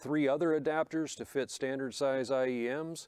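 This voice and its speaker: A man speaks at a moderate pace with fairly even intonation. The background is quiet and the sound dry, with no echo. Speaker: presenter. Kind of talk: tutorial. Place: studio.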